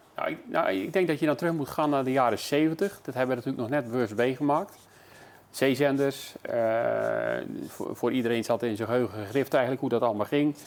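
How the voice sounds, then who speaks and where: A man speaks at a fairly quick pace and medium pitch with ordinary pitch variation, over noticeable background noise. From Netherlands, Zeeland (Terneuzen). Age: 60s. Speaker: local radio presenter. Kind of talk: casual interview. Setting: tv studio. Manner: halting, many fillers.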